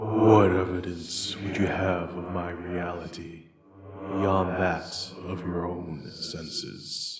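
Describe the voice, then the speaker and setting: In a put-on character voice, a man speaks very slowly at a very deep, low pitch with monotone, flat intonation. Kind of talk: ghostly dramatic reading. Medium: read story. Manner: slow, grave, terse.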